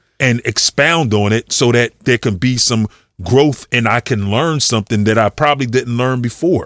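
An unremarkable speaking voice with an American accent at a moderate pace, ordinary pitch variation and very even loudness, on a very clean recording with a silent background. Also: man, medium pitch for a man, dry, close sound with no echo. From Philadelphia, Mount Airy. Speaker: podcast co-host. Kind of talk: casual chat.

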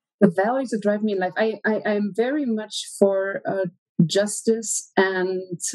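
In a German accent, a woman with a medium pitch speaks at a fairly slow pace with fairly even intonation. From Germany. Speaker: research analyst. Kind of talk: interview.

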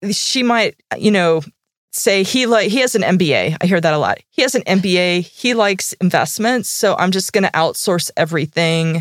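A woman with a plain, everyday voice speaks at a moderate pace and a medium pitch, with ordinary pitch variation. Her loudness is very even, and the sound is dry and close with no echo. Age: 40s. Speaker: financial strategist. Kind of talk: casual chat. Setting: studio.

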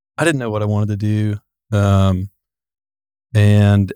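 With a Tennessee accent, the dark, mellow voice comes through dry and close with no echo on a very clean recording with a silent background. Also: man. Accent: Southern US (Tennessee). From US South, Giles County, Tennessee. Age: 20s. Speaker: excavation business owner. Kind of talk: casual chat.

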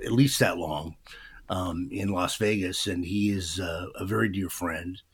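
A man speaks with an American accent at a very deep, low pitch, somewhat breathy. His pace is fairly slow, and his pitch varies in an ordinary way. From Vancouver, Washington (US Pacific Northwest). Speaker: radio DJ. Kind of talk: casual interview.

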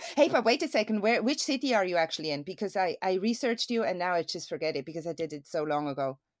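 On a very clean recording with a silent background, a woman with a Swiss accent talks at a very fast pace and a medium pitch, with very wide pitch swings. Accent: Swiss, non-native English. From Switzerland. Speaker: stuntwoman. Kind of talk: interview.

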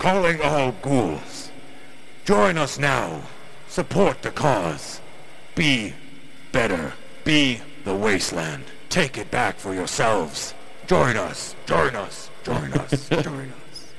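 Over clear background noise, a put-on character voice moves at a very slow pace with long, frequent pauses. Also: man, medium pitch for a man. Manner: aggressive, rallying.

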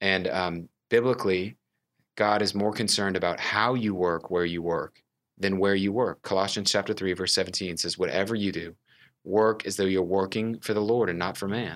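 With an American accent and an unremarkable speaking voice, a man talks at a moderate pace in a fairly low pitch and fairly even intonation, captured on a very clean recording with a silent background. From Texas, Houston. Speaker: young adult ministry director. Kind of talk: casual interview.

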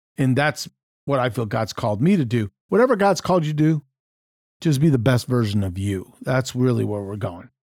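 With an American accent, a man uses an ordinary speaking voice at a medium pitch, talking at a fairly quick pace with lively intonation on a very clean recording with a silent background. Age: 60s. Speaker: podcast co-host, leadership counselor. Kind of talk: casual chat.

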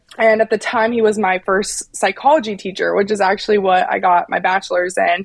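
With an American accent, the speaker moves at a fairly quick pace and keeps the intonation fairly even. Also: woman, medium pitch for a woman. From West Virginia. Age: 20s. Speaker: climate activist. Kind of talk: interview.

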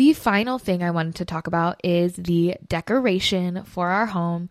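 On a very clean recording with a silent background, a woman with a Californian accent sounds animated and enthusiastic, her pitch varying in an ordinary way. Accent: Californian valley. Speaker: podcast host. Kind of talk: casual solo podcast monologue, upbeat. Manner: animated, enthusiastic.

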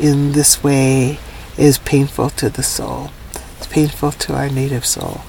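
A woman speaks with a Hawaiian accent, very deep and low in pitch. Her intonation is fairly even, with noticeable background noise. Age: old. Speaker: elder, professor and Native rights activist. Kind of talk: interview. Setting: minivan studio.

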